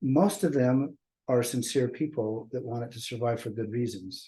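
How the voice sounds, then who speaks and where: A man's dark, mellow tone, somewhat breathy, at a moderate pace. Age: 60s. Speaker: discussion group host. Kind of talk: casual group discussion. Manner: halting.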